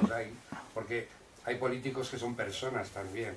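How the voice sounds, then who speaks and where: A man talks at a moderate pace with a medium pitch. There is audible room echo and noticeable background noise. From Catalonia, moved from Córdoba as a child. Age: 60s. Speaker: activist association president. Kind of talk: public talk. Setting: community hall with audience.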